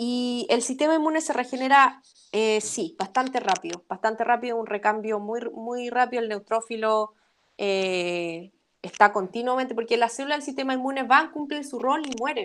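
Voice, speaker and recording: A woman speaks at a high pitch with a Chilean accent. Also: ordinary pitch variation. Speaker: immunology lecturer. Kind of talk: academic webinar Q&A. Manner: fast.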